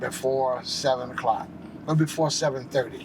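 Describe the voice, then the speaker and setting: Noticeable noise fills the background as a man talks at a medium pitch. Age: 70s. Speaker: homeless shelter van driver. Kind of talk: interview.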